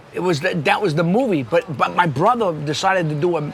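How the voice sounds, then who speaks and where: A man in a New York accent speaks at a fairly quick pace and a high pitch amid noticeable background noise. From New York City. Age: 60s. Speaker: podcast host and actor. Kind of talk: casual interview chat. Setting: pizza shop.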